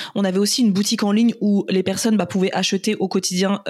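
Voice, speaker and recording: Here is a woman at medium pitch. Her voice is somewhat breathy. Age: 30s. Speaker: entrepreneur. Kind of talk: casual interview.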